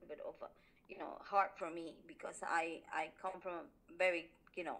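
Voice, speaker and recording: Her pitch medium, a woman speaks at a moderate pace. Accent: Spanish. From Honduras. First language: Spanish. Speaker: interviewee, immigrant. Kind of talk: interview. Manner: halting, many fillers.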